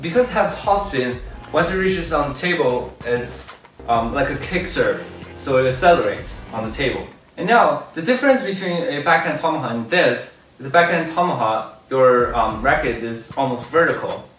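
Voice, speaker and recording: With faint music in the background and audible room echo, a man talks at a moderate pace. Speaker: table tennis coach. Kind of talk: tutorial. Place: gym.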